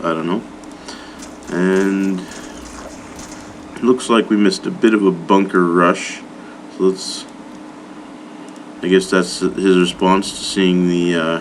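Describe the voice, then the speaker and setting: Over noticeable background noise, a man speaks with fairly even intonation and long, frequent pauses. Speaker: amateur game commentator. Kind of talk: live game commentary. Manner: casual, hesitant with fillers.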